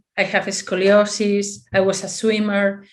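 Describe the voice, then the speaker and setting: The speaker has a Spanish accent. The background is quiet. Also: woman. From Spain. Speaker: physiotherapist. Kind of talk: conference presentation. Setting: video call. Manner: halting.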